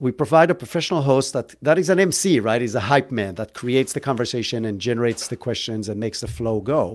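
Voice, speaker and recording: A speaker with an Israeli accent talks with lively intonation on a very clean recording against a silent background. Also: man. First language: Hebrew. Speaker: entrepreneur. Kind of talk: interview. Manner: casual, joking.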